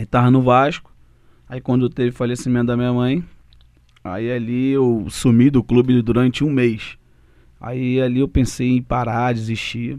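The delivery is fairly slow with long, frequent pauses. The intonation stays monotone and flat. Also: man, medium pitch for a man. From Rio de Janeiro, Brazil. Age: 30s. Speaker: former footballer, aspiring coach. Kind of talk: casual interview.

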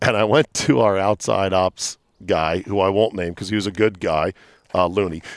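On a very clean recording with a silent background, a loud man speaks at a moderate pace with a fairly low pitch and ordinary pitch variation. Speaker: radio host. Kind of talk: casual chat. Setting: outdoors.

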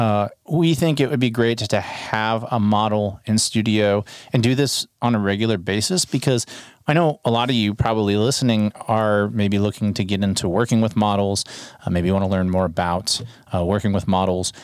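In a very clean recording with a silent background, a man with an unremarkable speaking voice talks at a moderate pace, with a fairly low pitch, ordinary pitch variation and very even loudness. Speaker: photography podcast host. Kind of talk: casual chat. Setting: studio. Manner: casual, frequent filler words.

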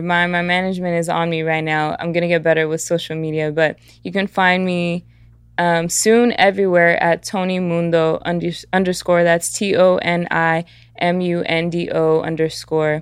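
Speaking at a moderate pace in an American accent, a woman uses a plain, everyday voice that sits fairly low, with fairly even intonation and a quiet background. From US (Atlanta, Georgia and Southern California, Mexican household). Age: 20s. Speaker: musician and activist. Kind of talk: casual interview chat.

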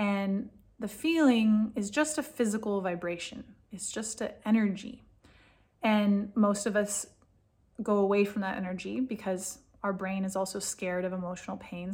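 The speaker has an American accent and sounds somewhat breathy. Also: woman. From California. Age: 40s. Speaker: food and mood coach. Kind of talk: solo talk to camera with guided exercise. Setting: home office in a bomb shelter.

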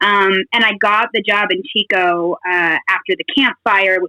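A woman with a General American accent speaks at a medium pitch and a fairly slow pace. Hers is an unremarkable speaking voice. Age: 30s. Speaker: newspaper editor. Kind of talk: casual chat.

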